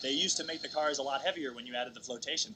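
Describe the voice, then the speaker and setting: Noticeable background noise runs under the voice. The pace is very fast. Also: man. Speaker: former student racing team member and alumnus, guest commentator. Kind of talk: live sports commentary. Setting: outdoors at race event, commentary booth.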